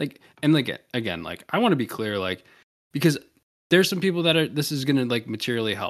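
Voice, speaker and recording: A man with an American accent talks at a very fast pace, his pitch swinging very widely. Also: fairly high pitch for a man. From US South. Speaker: podcast host. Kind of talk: casual chat.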